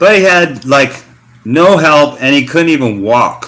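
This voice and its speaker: With an American accent, a man uses a bright, sharp tone and lively intonation at a moderate pace. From US Pacific Northwest, Portland Oregon. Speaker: expat vlogger. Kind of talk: livestream casual chat. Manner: casual, hesitant with many fillers.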